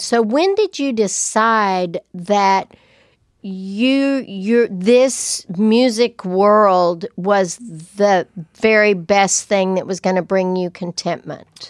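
A woman with a West Texas accent speaks at a fairly high pitch. The recording is very clean, with a silent background and a dry, close sound with no echo. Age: 70s. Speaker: podcast co-host. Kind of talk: casual chat. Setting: studio.

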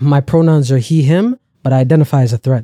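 Dry and close with no echo, a man talks in a Toronto accent. His tone is dark and mellow, with a fairly high pitch. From Canada. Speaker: comedian. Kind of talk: casual chat. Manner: animated.

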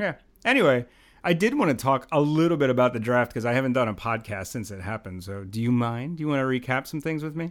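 On a very clean recording with a silent background, a man with a medium pitch talks at a very fast pace with lively intonation. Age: 40s. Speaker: podcast host. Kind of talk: casual chat. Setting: home studio.

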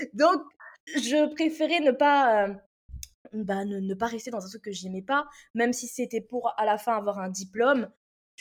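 In a very clean recording with a silent background, a woman with a fairly high pitch speaks at a moderate pace with ordinary pitch variation. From Réunion. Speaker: copywriting mentor. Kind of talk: interview. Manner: lively; halting.

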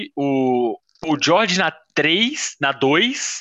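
A man speaks with very wide swings in pitch. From Belo Horizonte, Minas Gerais, Brazil. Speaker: fantasy basketball league member. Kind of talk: casual chat. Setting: video call.

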